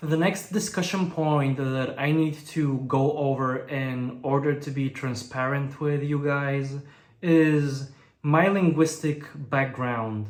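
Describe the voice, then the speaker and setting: A fairly high-pitched man's voice at a very slow pace, with fairly even intonation and audible room echo. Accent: Bulgarian. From Bulgaria. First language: Bulgarian. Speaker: language learning youtuber. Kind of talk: vlog monologue.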